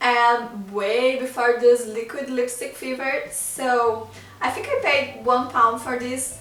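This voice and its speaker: The clip has audible room echo along with noticeable background noise. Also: woman. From Brazil. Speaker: beauty vlogger. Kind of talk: casual product review vlog.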